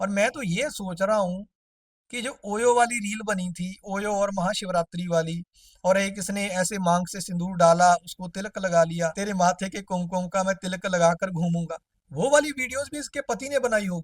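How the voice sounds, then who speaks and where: A man with a non-native accent and a high pitch that shows ordinary variation comes through in a dry, close sound with no echo. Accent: non-native Hindi accent, still learning. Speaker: roast commentator YouTuber. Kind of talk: comedic roast commentary.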